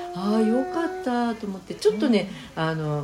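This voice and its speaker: Music playing behind a woman's moderately paced speech. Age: 50s. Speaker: community volunteer leader. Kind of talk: casual interview.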